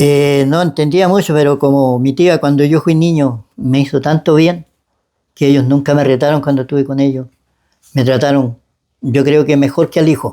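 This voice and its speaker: A man's dark, mellow tone with a Chilean accent, moderate pace and very even loudness. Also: fairly high pitch for a man, fairly even intonation. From Chile, Biobío region. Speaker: church member giving testimony. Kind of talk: testimony interview. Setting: at his home. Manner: halting.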